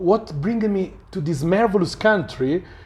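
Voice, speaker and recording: With an Italian accent, a man speaks at a fairly slow pace in a high pitch, his pitch varying in an ordinary way. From Italy. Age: 40s. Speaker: journalist. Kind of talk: interview. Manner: halting.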